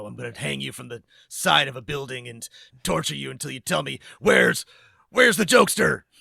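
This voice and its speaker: A man puts on a growling, raspy character voice and speaks at a fairly quick pace. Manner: menacing.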